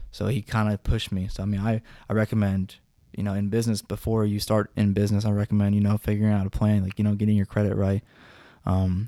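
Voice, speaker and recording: Over a very clean, silent background, a man with an American accent talks very fast in a fairly low, dark, mellow tone with monotone, flat intonation, the sound dry and close with no echo. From US West. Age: 20s. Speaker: small business owner. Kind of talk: casual chat.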